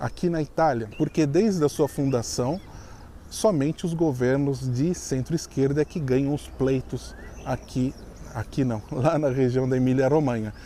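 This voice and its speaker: A normal speaking voice, moderately paced, its pitch varying in an ordinary way. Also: man, medium pitch for a man. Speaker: YouTuber, expat video host. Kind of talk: casual vlog commentary.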